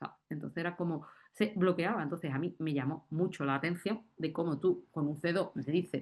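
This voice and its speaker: Against a quiet background, a woman with a strong Andalusian accent talks at a fairly quick pace in an animated tone, her fairly low pitch showing ordinary variation. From Andalusia, Spain. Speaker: university lecturer in Arabic. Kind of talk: round-table discussion.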